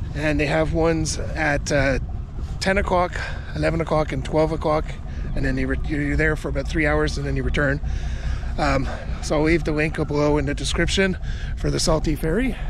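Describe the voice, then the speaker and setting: Amid noticeable background noise, a man talks at a fairly quick pace, the sound dry with no echo. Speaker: travel vlogger. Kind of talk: casual vlog chat. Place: waterside. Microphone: phone near.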